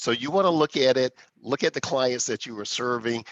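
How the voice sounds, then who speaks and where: Against a quiet background, a man talks at a fairly quick pace in a normal speaking voice, with medium pitch and ordinary pitch variation. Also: dry, close sound with no echo. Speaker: corporate executive, webinar panelist. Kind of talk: webinar panel discussion. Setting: online webinar.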